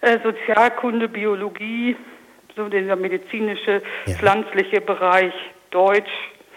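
Over noticeable background noise, a woman of medium pitch talks at a fairly slow pace with monotone, flat intonation and long, frequent pauses. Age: 40s. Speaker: radio promoter. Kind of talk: radio interview.

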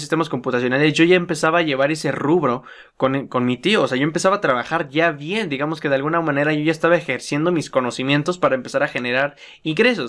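A man with a Mexican accent talks at a fairly quick pace in a bright, sharp tone with fairly high pitch and ordinary pitch variation. The recording is very clean, with a silent background. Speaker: podcast host, young entrepreneur. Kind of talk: casual monologue.

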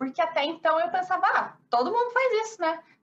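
In a Paraná countryside accent, a woman speaks at a moderate pace with an extremely high pitch and very wide pitch swings. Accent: noticeable Paraná countryside. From Brazil, interior of Paraná. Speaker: architect. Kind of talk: interview.

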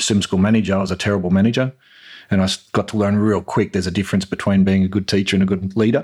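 A man with an Australian accent speaks at a fairly low pitch, his intonation fairly even. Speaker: swim school business owner. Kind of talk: casual chat.

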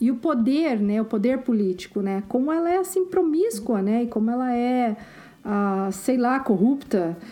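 Speaking fairly slowly, a woman with a high pitch uses lively intonation and keeps her loudness very even over noticeable background noise. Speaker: podcast co-host. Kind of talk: casual chat.

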